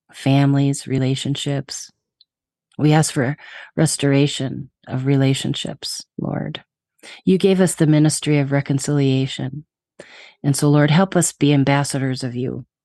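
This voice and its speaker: At a moderate pace, a woman speaks with a very deep, low pitch, a calm, dark, mellow tone and fairly even intonation, in a dry, close sound with no echo. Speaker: podcast host. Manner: sincere, non-judgmental; calm, prayerful.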